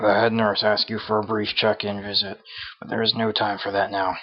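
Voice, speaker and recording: In a raspy put-on character voice, a man talks at a fairly quick pace with monotone, flat intonation and a fairly low pitch. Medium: game stream. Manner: brisk, businesslike.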